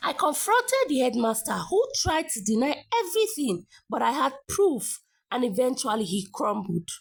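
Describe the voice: A woman speaks at a moderate pace, her high pitch swinging in big leaps. Vocal fry and a slightly husky edge come through.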